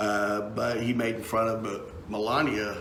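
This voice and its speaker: A man with a Texan accent speaks at a fairly low pitch with fairly even intonation. The recording carries audible room echo and noticeable background noise. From Texas. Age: 50s. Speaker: political talk show host and musician. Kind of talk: casual live-stream commentary. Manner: halting, many fillers and repeats.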